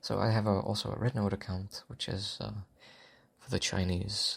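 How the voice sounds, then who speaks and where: A man's fairly low, somewhat breathy voice stays monotone and flat, broken by long, frequent pauses. The recording is very clean, with a silent background. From Czech Republic. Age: young. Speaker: audio content creator. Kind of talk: Q&A answering listener questions. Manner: unexpressive; halting.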